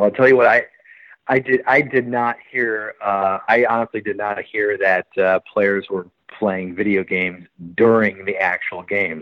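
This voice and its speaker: A man with a plain, everyday voice speaks in an American accent at a moderate pace. His pitch is fairly low and his intonation fairly even. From US Midwest, Milwaukee, Wisconsin. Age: 40s. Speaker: baseball reporter. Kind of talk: podcast interview.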